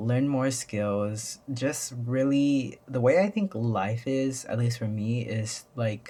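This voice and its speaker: A man's medium-pitched, somewhat breathy voice at a very slow pace, with ordinary pitch variation. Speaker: YouTuber. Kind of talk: casual vlog monologue. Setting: at home. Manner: halting, many fillers.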